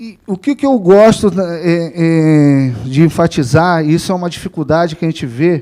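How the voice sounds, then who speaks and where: Speaking at a fairly slow pace, a man with a high pitch and a dark, mellow tone shows ordinary pitch variation. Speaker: veterinarian and government official giving a talk. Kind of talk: lecture. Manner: halting, many fillers and restarts.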